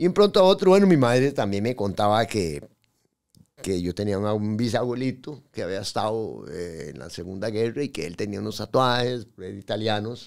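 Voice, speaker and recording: Big swings in loudness mark the speech of a man with a fairly low pitch and a Costa Rican accent, heard against a quiet background. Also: lively intonation, moderate pace. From Costa Rica, raised in Pérez Zeledón. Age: 50s. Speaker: tattoo artist; podcast guest. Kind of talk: interview storytelling. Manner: halting. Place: studio. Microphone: studio mic.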